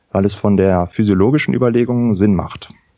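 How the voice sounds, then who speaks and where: A man with a plain, everyday voice speaks at a fairly low pitch and moderate pace, with ordinary pitch variation. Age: 30s. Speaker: anaesthetist, congress organiser. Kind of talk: interview.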